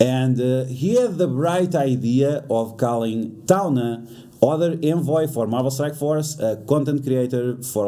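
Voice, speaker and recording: A man with a non-native accent talks at a fairly slow pace, his medium pitch showing ordinary variation. Audible room echo is present. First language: not English. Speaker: YouTuber reacting to drama. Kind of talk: reaction commentary. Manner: halting, many fillers.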